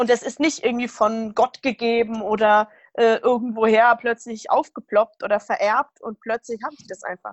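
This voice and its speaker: A woman with an unremarkable speaking voice talks at a moderate pace. Her intonation stays fairly even. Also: fairly high pitch for a woman. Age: 20s. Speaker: rheumatism patient, retreat participant. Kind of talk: interview, personal testimony.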